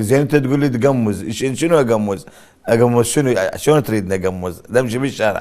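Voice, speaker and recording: Pitch rises and falls in an ordinary way. The speech keeps a moderate pace. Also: man. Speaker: actor. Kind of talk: interview.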